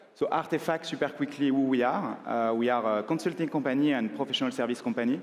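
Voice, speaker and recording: A man with a French accent, medium-pitched with ordinary pitch variation, speaking at a very fast pace. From France. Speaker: consulting firm partner, conference speaker. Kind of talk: conference talk. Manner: filler-heavy with frequent uh.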